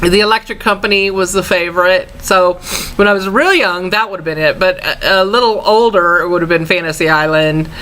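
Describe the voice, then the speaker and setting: A woman with a Southern US accent talks at a fairly quick pace. Noticeable background noise runs behind her. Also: medium pitch for a woman, ordinary pitch variation. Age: 40s. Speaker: vlogger. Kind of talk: casual chat. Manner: relaxed, halting with fillers.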